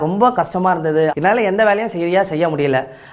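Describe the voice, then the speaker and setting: Through noticeable background noise, a man's high-pitched voice carries ordinary pitch variation. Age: 30s. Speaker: auto rickshaw driver giving testimonial. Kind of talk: testimony.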